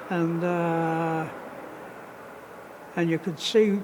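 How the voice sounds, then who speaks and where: With noticeable background noise and audible room echo, a man speaks at a high pitch with fairly even intonation. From northern England, Lancashire. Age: 90s. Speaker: war veteran. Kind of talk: testimony. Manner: halting.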